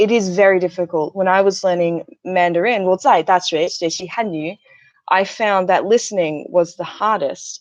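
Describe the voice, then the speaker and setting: This woman, with an Australian accent, talks at a medium pitch with fairly even intonation. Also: moderate pace, big swings in loudness. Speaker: YouTuber and English teacher trainee. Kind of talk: casual livestream chat.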